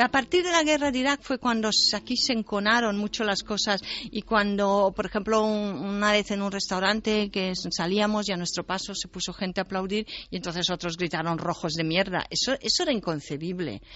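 This is a normal speaking voice at a fairly quick pace with ordinary pitch variation. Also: woman, medium pitch for a woman. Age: 60s. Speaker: writer and translator. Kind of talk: interview.

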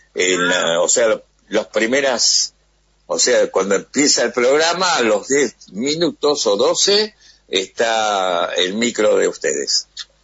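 A man at a very slow pace, his loudness very even throughout. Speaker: radio host. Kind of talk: interview.

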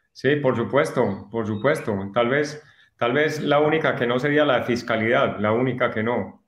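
Audible room echo surrounds a man speaking at a moderate pace. His pitch is medium and his intonation fairly even. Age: 50s. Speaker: course student. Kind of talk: testimony. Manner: halting.

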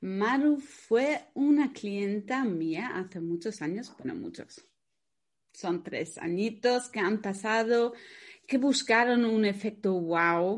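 With a non-native accent and a fairly high pitch, a woman speaks at a very slow pace with lively intonation over a quiet background. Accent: foreign accent in Spanish. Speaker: podcast host, wedding planner. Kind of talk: casual interview.

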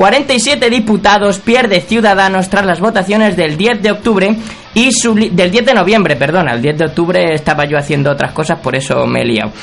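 Here a man speaks with a high pitch and lively intonation. There is noticeable background noise. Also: moderate pace. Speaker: podcast host. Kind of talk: comedic monologue. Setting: radio studio. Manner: casual.

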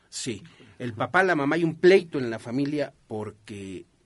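This man has a fairly high pitch, lively intonation and a fairly slow pace. It is a normal speaking voice. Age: 50s. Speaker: radio host. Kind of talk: radio talk show.

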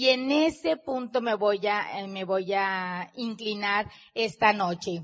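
A woman speaks very slowly at a medium pitch. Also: ordinary pitch variation. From Mexico. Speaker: business leader and motivational speaker. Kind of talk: motivational talk to live audience. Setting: stage with audience.

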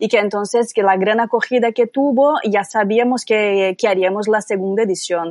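At a moderate pace and with ordinary pitch variation, the speaker talks in a Brazilian accent over a dry, close sound with no echo. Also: woman. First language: Portuguese (speaking Spanish). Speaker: yarn shop owner and festival organiser. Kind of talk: casual chat.

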